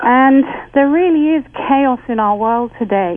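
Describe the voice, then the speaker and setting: A woman with an English accent speaks at a high pitch with ordinary pitch variation. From England. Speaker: author and spiritual teacher. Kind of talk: casual chat.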